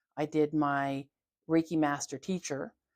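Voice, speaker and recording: In a very clean recording with a silent background and a dry, close sound with no echo, a woman with a Canadian accent talks in a very deep, low pitch with fairly even intonation. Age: 50s. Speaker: holistic health therapist. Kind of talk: casual interview. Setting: video podcast.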